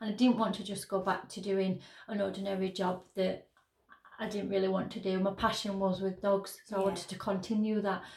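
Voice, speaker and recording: A woman speaks in a Yorkshire accent at a medium pitch. Her pace is fairly quick and her intonation monotone and flat. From northern England, Sheffield. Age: 30s. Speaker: business owner. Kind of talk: interview.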